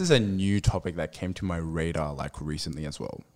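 Pitched very deep and low, a man speaks at a medium tempo. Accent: Australian. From Sydney, Australia. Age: 20s. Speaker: church member sharing testimony. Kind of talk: casual chat and testimony.

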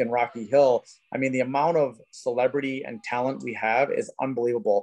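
This man has an unremarkable speaking voice, with medium pitch and a fairly quick pace. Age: 40s. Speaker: tattoo convention organizer. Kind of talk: casual chat.

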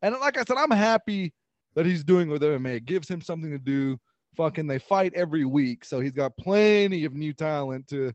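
With lively intonation, a man speaks in a fairly high voice. His pace is moderate. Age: 30s. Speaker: podcast co-host. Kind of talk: casual chat. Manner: hesitant, many fillers.

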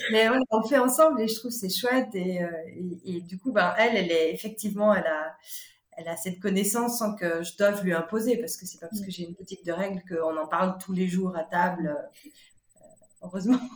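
Speaking at a fairly quick pace, a woman uses medium pitch with ordinary pitch variation and big swings in loudness. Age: 40s. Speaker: shop founder. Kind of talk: interview. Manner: halting.

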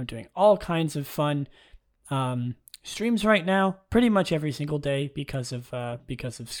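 A quiet man speaks at a moderate pace in a fairly high voice with lively intonation. The recording is very clean, and the background is silent. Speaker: podcast host. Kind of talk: solo casual talk. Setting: echoey dorm room. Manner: mellow, quiet.

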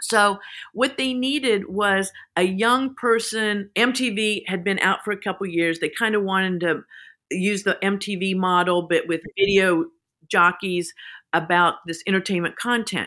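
With an American accent and a bright, sharp tone, a woman talks at a moderate pace and medium pitch with ordinary pitch variation, on a very clean recording with a silent background. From Kansas, US. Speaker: beauty entrepreneur. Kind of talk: interview conversation.

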